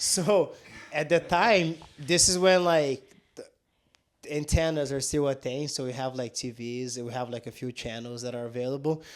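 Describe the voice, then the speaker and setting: A man with a Portuguese accent speaks at a moderate pace and a fairly high pitch. His pitch varies in an ordinary way, while his loudness swings widely. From southern Brazil. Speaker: jiu-jitsu instructor. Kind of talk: casual chat. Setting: on-location podcast at his gym.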